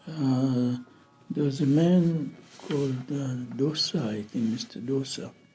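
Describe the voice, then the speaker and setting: Music plays in the background as a man talks very slowly at a fairly high pitch, with ordinary pitch variation. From Zanzibar. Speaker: scholar. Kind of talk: oral history interview. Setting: interview. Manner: halting.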